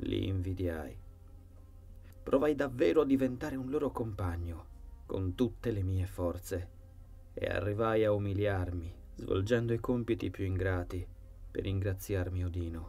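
A solemn, menacing tone with lively intonation, a fairly slow pace and long, frequent pauses over music in the background. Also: man, fairly low pitch for a man. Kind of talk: horror audiobook narration. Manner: first-person dark storytelling, solemn and brooding, with an ominous, menacing tone.

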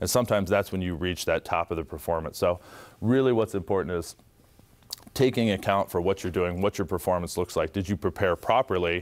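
A man with an American accent talks at a fairly quick pace in a very deep, low voice. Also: ordinary pitch variation. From Ohio, US Midwest. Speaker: former basketball player and tech employee; guest. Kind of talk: motivational talk to students. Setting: school audience. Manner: animated. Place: classroom. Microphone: lapel.

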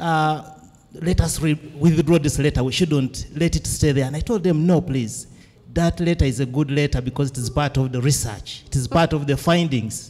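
The voice has a Ugandan accent and a dark, mellow tone. It keeps a moderate pace with ordinary pitch variation. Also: man, fairly high pitch for a man. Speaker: academic and event moderator. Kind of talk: moderating an academic symposium. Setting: symposium with audience.

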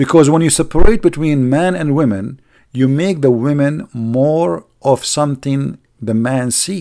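Speaking at a fairly slow pace with an Arabic accent, a man uses a fairly high pitch, lively intonation and a dark, mellow tone against a quiet background. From Middle East. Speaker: online video host. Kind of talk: live stream commentary and rant. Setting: live stream online. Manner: animated, sarcastic; non-fluent English, grammar slips.

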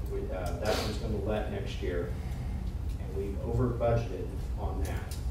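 Over loud background noise and audible room echo, a man speaks at a moderate pace with long, frequent pauses. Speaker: county highway superintendent. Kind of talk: public meeting report. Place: meeting room.

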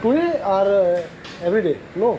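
At a very slow pace, a man with a high pitch and dark, mellow tone uses lively intonation over faint background noise.

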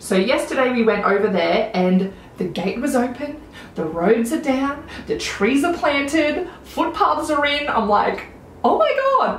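A woman with an Australian accent speaks at a high pitch in an animated tone, her pitch swinging very widely. Audible room echo and light background noise surround her voice. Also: fairly slow pace. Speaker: beauty vlogger. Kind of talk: casual chat. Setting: home video recording. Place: home room.

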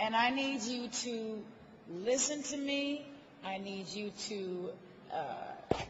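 Over noticeable background noise, a woman with a high pitch speaks at a very slow pace. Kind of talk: acceptance speech. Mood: grateful, emotional. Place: hall. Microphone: podium.

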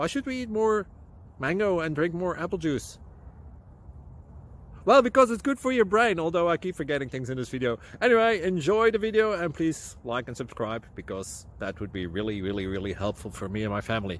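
In a dry recording with no echo, a man talks at a fairly quick pace with very wide pitch swings. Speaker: channel host. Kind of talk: casual vlog chat. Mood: playful, joking. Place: open country. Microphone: phone near.

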